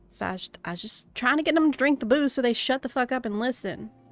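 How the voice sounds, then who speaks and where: Faint music plays behind a gruff, put-on character voice. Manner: gruff, defensive, nervous; grudging, crumbling under pressure.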